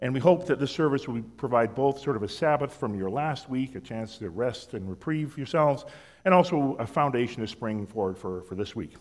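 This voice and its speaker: The pace is fairly quick. Intonation is lively. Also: man. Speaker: youth pastor. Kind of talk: church welcome announcements. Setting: church service. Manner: casual, joking. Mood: warm, lightly joking. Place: church.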